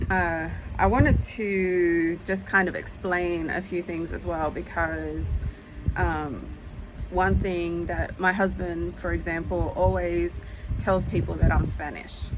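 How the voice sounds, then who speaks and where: Amid noticeable background noise and audible room echo, a woman with an Australian accent talks at a very slow pace. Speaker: YouTuber. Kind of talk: casual vlog talk. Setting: outdoors on front porch. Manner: hesitant with many fillers.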